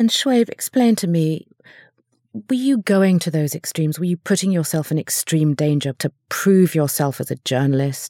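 At a moderate pace, a woman with fairly low pitch, a dark, mellow tone and lively intonation comes through dry and close with no echo, on a very clean recording with a silent background. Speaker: podcast host and journalist. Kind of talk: interview.

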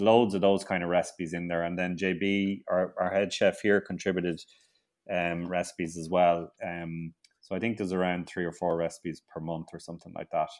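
A man with an Irish accent speaks at a very deep, low pitch in a monotone, flat intonation. His pace is fairly quick against a quiet background. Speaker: grower, author and TV presenter. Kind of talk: casual interview. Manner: halting, repeats words.

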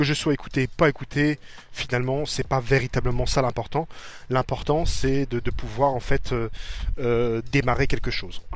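The intonation here is fairly even. A man delivers it at a moderate pace. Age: 40s. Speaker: podcaster. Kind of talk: personal monologue. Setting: outdoors. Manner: halting.

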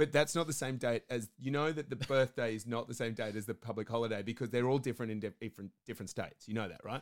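Very fast with hardly any pauses, a man talks at a medium pitch. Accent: Australian. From Australia. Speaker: podcast co-host. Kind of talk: casual chat. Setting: small hot room in a flat, under the stairs.

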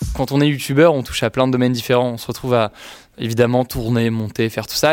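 Fairly even intonation from a man at a very fast pace. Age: 20s. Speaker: youtuber. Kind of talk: interview.

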